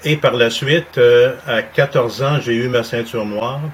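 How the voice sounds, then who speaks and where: This man's voice sits at a medium pitch with fairly even intonation. Background noise is noticeable. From Montreal, Quebec. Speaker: martial arts instructor. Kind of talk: interview.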